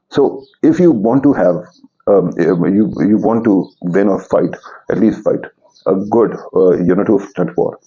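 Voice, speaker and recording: At a moderate pace, a man with a fairly low pitch keeps his loudness very even and his pitch variation ordinary. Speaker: political commentator. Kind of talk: political commentary monologue. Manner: halting.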